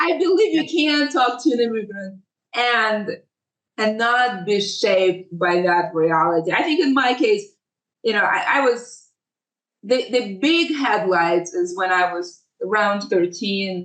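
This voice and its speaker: Speaking at a fairly slow pace with a non-native accent, a woman uses a fairly high pitch with very wide pitch swings and very even loudness. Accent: foreign. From Ukraine and other places, moved to US at 13. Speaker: tech lawyer. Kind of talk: podcast interview.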